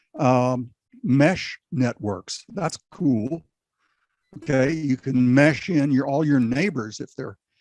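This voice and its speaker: Fairly high in pitch, a man speaks at a very slow pace in a dry, close sound with no echo. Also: ordinary pitch variation. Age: 80s+. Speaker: ham radio operator and preparedness guest. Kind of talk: casual interview chat. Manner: halting, many fillers.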